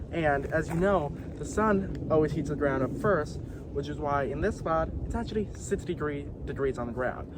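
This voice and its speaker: At a moderate pace, a man with an American accent speaks amid audible room echo and noticeable background noise. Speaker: wildlife vlogger. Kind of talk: outdoor vlog narration. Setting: outdoors on a hike.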